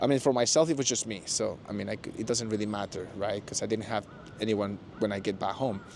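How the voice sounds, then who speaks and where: Fairly quick and fairly even in intonation, this voice carries a Spanish accent. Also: man. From Mexico. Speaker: former office worker in Japan. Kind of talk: interview. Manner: hesitant, many fillers.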